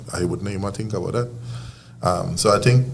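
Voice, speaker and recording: A man with a Trinidadian accent talks with lively intonation. Noticeable background noise and audible room echo fill the recording. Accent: Trinidadian, kept. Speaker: field hockey coach. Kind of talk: casual interview chat.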